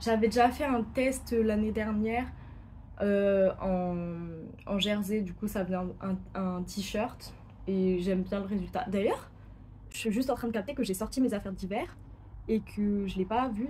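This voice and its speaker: Pausing long and often, a woman speaks fairly slowly in a medium-pitched, dark, mellow voice with fairly even intonation. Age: 20s. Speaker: sewing YouTuber. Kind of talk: casual vlog presentation. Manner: hesitant, many fillers.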